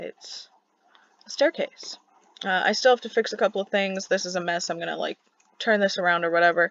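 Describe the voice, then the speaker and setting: The pace is fairly quick. Long pauses come often. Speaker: gaming YouTuber. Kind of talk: casual gameplay commentary.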